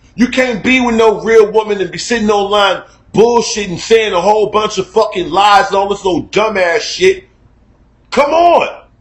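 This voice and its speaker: The man talks loudly at a high pitch, and his pitch varies in an ordinary way. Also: moderate pace. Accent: American. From Chicago. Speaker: online talk show host. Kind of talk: casual rant. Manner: animated.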